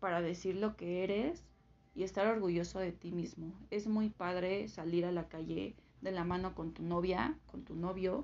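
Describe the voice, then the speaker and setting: Her pitch medium and its variation ordinary, a woman speaks at a fairly slow pace. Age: 20s. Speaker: guest sharing personal story. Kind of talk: testimony. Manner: halting, with fillers.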